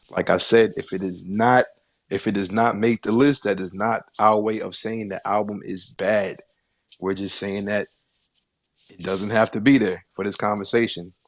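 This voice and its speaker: With an American accent, a man speaks in a plain, everyday voice at a fairly low pitch and a moderate pace. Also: fairly even intonation. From Queens, New York. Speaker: podcast host. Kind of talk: live audio room discussion. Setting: live Twitter space.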